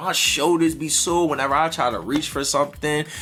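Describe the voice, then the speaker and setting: Over noticeable background noise, a man with a fairly high pitch speaks at a moderate pace in an animated tone. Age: 20s. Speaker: music reviewer / YouTuber. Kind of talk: casual vlog commentary.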